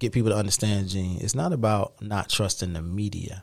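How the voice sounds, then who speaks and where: A very clean recording of a man with an American accent, the background silent. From South Carolina. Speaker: media literacy educator and film producer. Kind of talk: interview conversation. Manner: animated.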